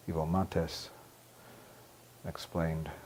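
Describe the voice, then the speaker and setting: A man with an American accent speaks in a very deep, low voice with a dark, mellow tone. His intonation is monotone and flat. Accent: North Atlantic rather than Manhattan. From New York City. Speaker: journalist. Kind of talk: oral history interview. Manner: hesitant, many fillers.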